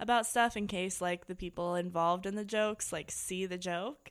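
A woman speaks at a medium pitch and a fairly quick pace with ordinary pitch variation, in an ordinary speaking voice. The recording is very clean, with a silent background. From US Midwest, Indiana. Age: 30s. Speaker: comedian. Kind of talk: casual chat.

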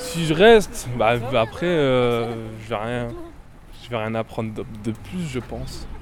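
A man's speech moves very slowly, with noticeable noise in the background. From Angoulême area, France. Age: 20s.

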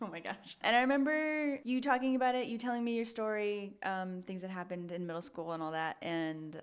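Speaking very fast with an American accent, a woman uses lively intonation. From US Pacific Northwest, Portland. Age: 20s. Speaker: operations manager and coach. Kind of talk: casual chat.

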